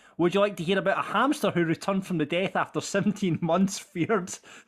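Speaking with a Scottish accent, a man uses a high pitch at a moderate pace. The recording is very clean with a silent background. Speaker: podcast host and producer. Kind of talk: casual chat.

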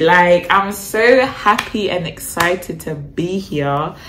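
This is a woman talking. Her words carry audible room echo. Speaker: vlogger. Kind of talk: casual vlog chat. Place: home room. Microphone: phone near.

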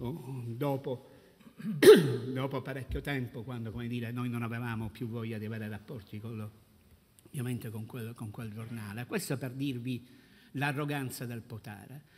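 A man talks at a fairly slow pace in a somewhat breathy voice. There is light noise in the background. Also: fairly even intonation. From Sicily. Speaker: brother of a murdered police officer, anti-mafia activist; conference panelist. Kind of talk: panel talk. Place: hall. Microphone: podium.

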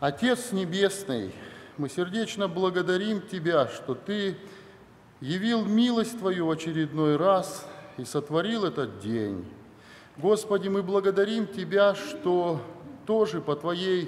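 At a very slow pace, a man speaks in a high pitch. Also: lively intonation. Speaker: church minister leading prayer. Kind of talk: spoken prayer. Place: church. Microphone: podium.

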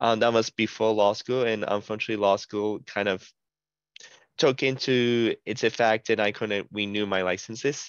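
With fairly even intonation, a man speaks at a moderate pace in a dry sound with no echo and a quiet background. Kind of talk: self-introduction in meeting. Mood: friendly, smiling. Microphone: headset.

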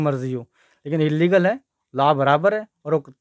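Against a quiet background, a man talks in a fairly high pitch, and the sound is dry with no echo. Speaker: advocate and petitioner; interviewee. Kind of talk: news interview. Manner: hesitant at first, improving. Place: office. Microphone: handheld.

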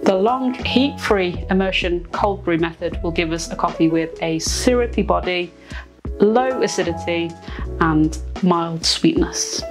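A woman talks at a fairly slow pace while clear music sounds behind her. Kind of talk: tutorial. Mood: relaxed, lightly playful. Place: studio. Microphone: lapel.

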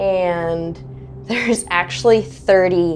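Over light background noise, a woman talks at a very slow pace. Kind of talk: interview answer. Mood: cheerful, laughing often. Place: home room. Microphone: lapel.

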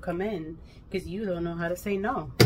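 With light background noise present, a woman talks at a moderate pace. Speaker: vlogger. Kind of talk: casual vlog chat. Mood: venting about a hectic day. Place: kitchen. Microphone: phone near.

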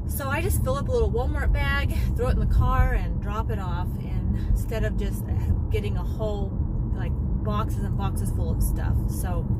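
A woman at a moderate pace with ordinary pitch variation, her dry sound with no echo set against loud background noise. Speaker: lifestyle vlogger. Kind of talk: casual vlog chat. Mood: relaxed, chatty. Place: car. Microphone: phone near.

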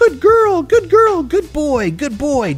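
A high-pitched put-on character voice at a fairly slow pace. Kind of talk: praising dogs during a training tutorial. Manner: encouraging, praising. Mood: warm, praising.

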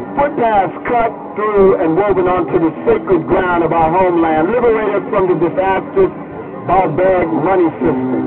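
A man's high-pitched voice at very even loudness and a moderate pace, with ordinary pitch variation and loud music in the background. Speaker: poet. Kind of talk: poetry reading. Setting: outdoors. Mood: solemn, declamatory. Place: stage.

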